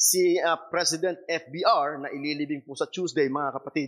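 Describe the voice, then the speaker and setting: On a very clean recording with a silent background, the words unfold at a fairly slow pace. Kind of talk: sermon. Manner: emphatic, earnest pulpit delivery, switching between Tagalog and English.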